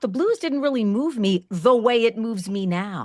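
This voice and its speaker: A woman with a New Jersey accent speaks with very wide pitch swings. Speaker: podcast host. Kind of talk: interview.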